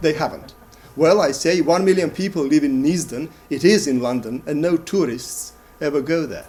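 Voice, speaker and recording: A man with a Macedonian accent talks at a moderate pace in a fairly high voice, his intonation lively. Room echo is audible around him. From Macedonia (former Yugoslavia). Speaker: playwright and lecturer. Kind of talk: performance lecture.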